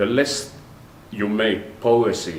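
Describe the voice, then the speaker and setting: Fairly slow speech with audible room echo and noticeable background noise. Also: man. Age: 60s. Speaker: orchestra conductor and conducting professor. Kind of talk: interview monologue. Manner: halting.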